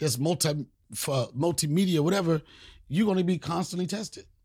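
Animated in tone, a man speaks at a fairly quick pace with ordinary pitch variation. The recording is very clean, with a silent background. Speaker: comedian host. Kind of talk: comedic rant, freestyle-style riffing. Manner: animated, profane, loud.

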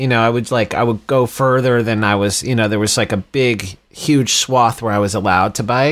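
A man talks at a medium pitch and a moderate pace, with an American accent and a normal speaking voice. The recording is very clean, with a silent background. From Texas, Dallas suburbs. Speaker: rock band frontman. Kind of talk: casual chat.

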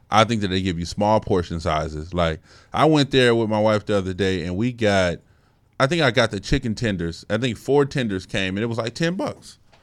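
Someone with an American accent speaks in a plain, everyday voice at a fairly quick pace with lively intonation, in a very clean recording with a silent background. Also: man. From Colorado. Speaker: podcast co-host. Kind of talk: casual chat.

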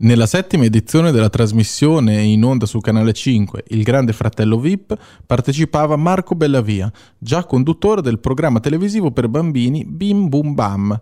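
The tone is dark and mellow, delivered at a moderate pace with lively intonation. Loudness stays very even, and the sound is dry and close with no echo. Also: man, medium pitch for a man. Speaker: radio host reading news. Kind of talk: news-style narration.

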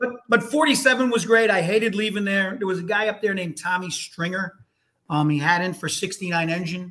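With music playing in the background, a man with an American accent speaks in a raised, projected voice. His pitch is high and his pace moderate. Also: ordinary pitch variation. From Hartford, Connecticut. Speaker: retired firefighter. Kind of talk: casual chat.

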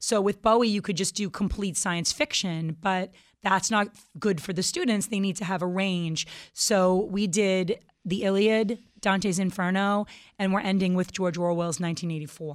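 On a very clean recording with a silent background, a woman speaks in an unremarkable speaking voice at a medium pitch, at a moderate pace and with fairly even intonation. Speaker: band guitarist and singer. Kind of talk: casual radio interview. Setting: radio studio.

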